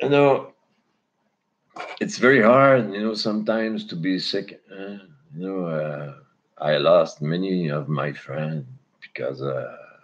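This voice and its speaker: A man with a Quebec accent, very slow pace and lively intonation. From Quebec, Canada. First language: French. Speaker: cannabis livestreamer. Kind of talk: casual live stream chat. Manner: halting.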